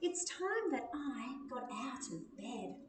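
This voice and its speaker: Slight echo surrounds a woman's put-on character voice, pitched high and delivered at a very slow pace. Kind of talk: children's picture-book read-aloud. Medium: read story. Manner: cheery, sing-song.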